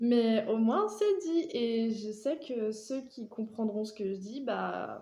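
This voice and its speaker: A woman with a fairly high pitch and a dark, mellow tone sounds somewhat breathy, showing ordinary pitch variation amid audible room echo. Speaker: vlogger. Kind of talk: personal monologue. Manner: talkative.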